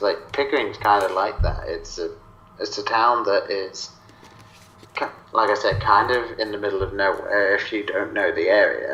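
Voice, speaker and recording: In an English accent, a man speaks at a moderate pace with audible room echo. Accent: English accent noticeable. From South East England. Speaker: podcaster guest. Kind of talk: casual chat.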